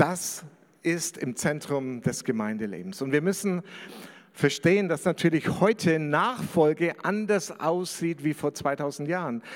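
Using a plain, everyday voice, a man talks at a fairly slow pace. His fairly high pitch moves with lively intonation. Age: 50s. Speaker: pastor. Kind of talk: sermon.

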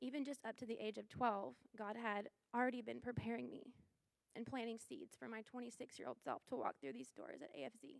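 A woman's fairly high voice with lively intonation and vocal fry, at a moderate pace. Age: 20s. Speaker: church member giving testimony. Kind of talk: testimony. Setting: church service, small audience and livestream.

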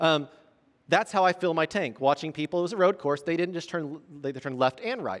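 In a Southern Indiana accent, a man with fairly high pitch talks at a fairly quick pace with ordinary pitch variation, the sound dry and close with no echo. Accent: Southern Indiana accent, noticeable. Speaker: pastor. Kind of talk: sermon. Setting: church. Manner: halting, many repetitions and fillers.

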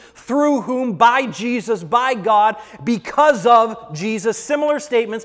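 Amid noticeable background noise, a man with an extremely high pitch talks at a fairly slow pace with ordinary pitch variation. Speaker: preacher. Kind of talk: sermon. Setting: church.

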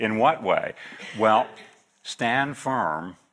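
A bright, sharp voice with a US Midwestern accent, very slow pace, very clean recording with a silent background. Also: man. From US Midwest, northeastern Kansas. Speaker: guest preacher, missionary agency director. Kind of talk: sermon. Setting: church.

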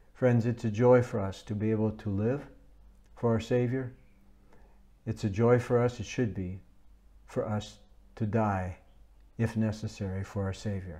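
Pausing long and often, a man with a fairly low, dark, mellow voice speaks at a moderate pace with fairly even intonation. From United States. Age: 70s. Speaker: visiting preacher. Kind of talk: sermon. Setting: speaking to a camera for a recorded service.

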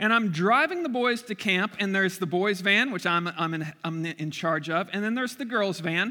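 A loud, high-pitched male voice at a moderate pace, with ordinary pitch variation. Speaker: pastor. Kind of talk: sermon. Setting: church.

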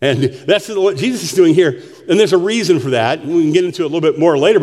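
The reading voice is unforced. It carries the whole clip.

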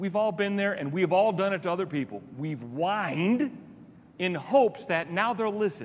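Reading aloud in a natural voice, the speaker lets the pitch rise and fall in an ordinary way.

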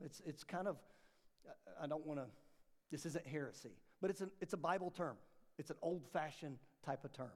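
A man speaks in a fairly high voice at a fairly quick pace. His pitch varies ordinarily, and he takes long, frequent pauses. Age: 40s. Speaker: pastor. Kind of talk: bible study class teaching. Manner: animated.

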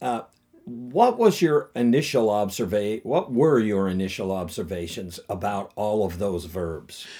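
Music runs in the background while a man speaks at a fairly slow pace. His fairly low voice carries lively intonation. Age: 60s. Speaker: pastor. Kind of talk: casual chat.

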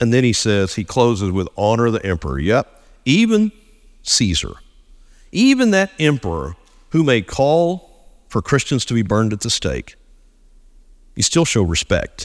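With an American accent, a man speaks at a moderate pace and takes long, frequent pauses. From Texas, near Austin. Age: 50s. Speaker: pastor. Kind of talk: sermon. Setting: church. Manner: halting, frequent fillers and repeated words.

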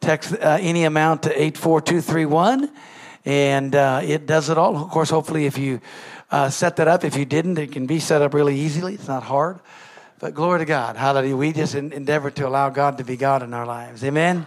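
A man's ordinary speaking voice, fairly high in pitch and fairly quick in pace, with fairly even intonation. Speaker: pastor. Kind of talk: warm church announcements and offering appeal. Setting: church.

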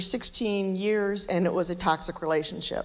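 At a moderate pace, a woman speaks with medium pitch and fairly even intonation. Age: 60s. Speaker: speaker sharing life story. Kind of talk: testimony.

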